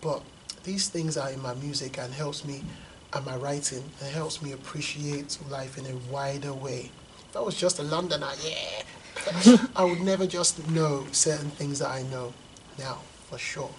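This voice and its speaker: A fairly high-pitched man at a moderate pace, with fairly even intonation and noticeable background noise. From London and Lagos, Nigeria. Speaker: poet and hip hop artist. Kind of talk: interview. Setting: school.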